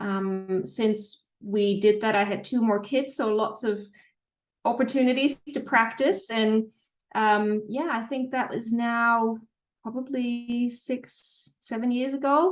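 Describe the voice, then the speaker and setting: Speaking with a Dutch accent, a woman takes a very slow pace. Her pitch is fairly high and varies in an ordinary way. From Netherlands. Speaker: psychologist. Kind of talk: interview. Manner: calm.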